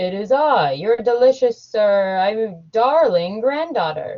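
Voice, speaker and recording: A put-on character voice that sounds female speaks fairly slowly at a fairly high pitch. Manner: sweetly deceptive.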